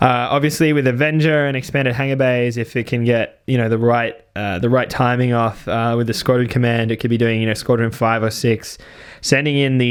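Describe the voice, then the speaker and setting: Monotone, flat intonation in an Australian accent, at a fairly quick pace, in a very clean recording with a silent background. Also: man. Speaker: tabletop wargame channel host. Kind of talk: game battle report commentary. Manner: casual, many filler words.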